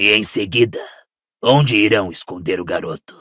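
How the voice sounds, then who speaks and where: Putting on a raspy character voice, a man speaks at a moderate pace with a fairly low pitch. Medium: read story. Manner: cold, imperious.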